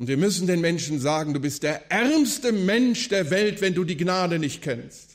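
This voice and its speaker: A man speaks in a high pitch at a moderate pace, with hardly any pauses. His intonation is lively. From western Germany, Wuppertal. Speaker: evangelist and preacher. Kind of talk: lecture / sermon at a conference. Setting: conference hall with audience.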